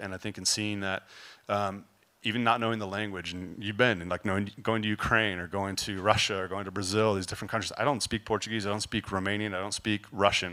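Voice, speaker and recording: A man with an American accent speaks in a fairly low pitch with a bright, sharp tone. His intonation is monotone and flat, and the recording is very clean with a silent background. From California. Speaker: youth ministry volunteer. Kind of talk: testimony.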